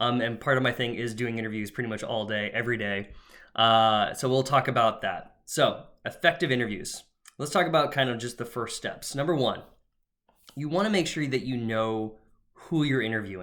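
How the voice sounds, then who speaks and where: The man's voice has a medium pitch, ordinary pitch variation and a bright, sharp tone. It comes through in a very clean recording with a silent background. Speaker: career coach. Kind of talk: tutorial. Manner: fast; casual with fillers.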